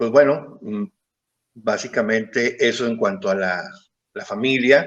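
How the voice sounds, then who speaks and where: A man talks fairly slowly at a medium pitch, using a plain, everyday voice. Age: 50s. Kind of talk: interview testimony.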